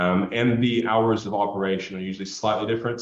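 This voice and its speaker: With an American accent, a man talks at a fairly quick pace and fairly even intonation amid audible room echo and noticeable background noise. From Texas. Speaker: business professional, university alumnus. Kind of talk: online interview Q&A. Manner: halting, many fillers.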